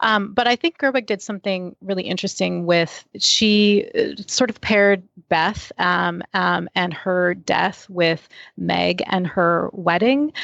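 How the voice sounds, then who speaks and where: A woman speaks at a fairly slow pace against a quiet background. Hers is a plain, everyday voice of medium pitch with ordinary pitch variation. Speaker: film critic. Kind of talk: panel discussion, film review.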